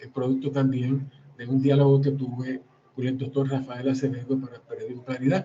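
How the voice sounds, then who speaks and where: A man with a medium pitch and a dark, mellow, somewhat breathy tone speaks in a flat monotone while his loudness swings widely. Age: 60s. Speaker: historian and author. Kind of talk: book presentation talk. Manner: halting, with repetitions.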